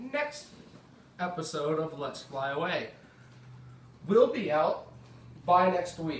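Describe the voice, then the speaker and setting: A man with an American accent, a high pitch and very wide pitch swings at a very slow pace with long, frequent pauses, plus audible room echo and noticeable background noise. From United States. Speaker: gaming YouTuber. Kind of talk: gameplay commentary. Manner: casual.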